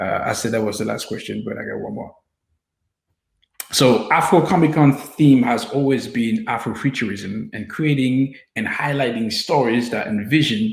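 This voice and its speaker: The voice is somewhat breathy and moves at a moderate pace, with ordinary pitch variation and big swings in loudness. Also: man. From France (Paris), Haitian descent. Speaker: filmmaker and interviewer. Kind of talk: casual interview.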